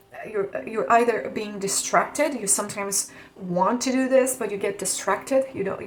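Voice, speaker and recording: A woman with a non-native accent speaks fairly slowly, her pitch varying in an ordinary way. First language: not English. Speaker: tarot reader. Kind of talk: tarot reading to camera. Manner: some hesitations and stutters.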